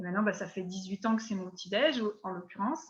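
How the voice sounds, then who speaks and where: Her tone comes across bright and sharp, and the woman's pitch moves in an ordinary way. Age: 60s. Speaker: network marketing distributor. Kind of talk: interview. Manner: hesitant, many fillers.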